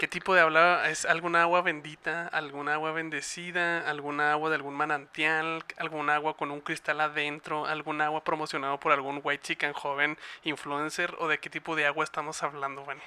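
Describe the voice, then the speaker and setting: In a very clean recording with a silent background, a man with a Mexican accent speaks at a fairly quick pace and a fairly high pitch, his bright, sharp tone flat and monotone, with hardly any pauses. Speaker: podcast producer and co-host. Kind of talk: casual chat.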